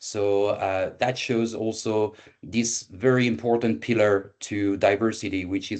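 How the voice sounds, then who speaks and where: A man with a French accent speaks at a fairly slow pace in a fairly low, monotone voice with flat intonation against a quiet background. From France. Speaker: event moderator for a recruitment agency. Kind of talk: online presentation. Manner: halting with many fillers.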